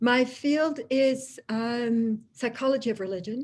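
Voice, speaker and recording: A woman in a Dutch accent, somewhat breathy and very slow. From Germany (Tübingen), Dutch family. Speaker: professor of religious studies. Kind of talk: lecture. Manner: many hesitations and fillers.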